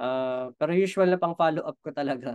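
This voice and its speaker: The speaker is a man using fairly even intonation at a fairly quick pace. The sound is dry with no echo. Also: quiet background. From Philippines. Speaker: business trainer. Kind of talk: online training session. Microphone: webcam.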